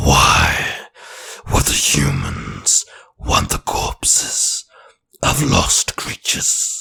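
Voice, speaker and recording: A man uses a put-on character voice and speaks at a very slow pace. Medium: read story. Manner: formal, terse.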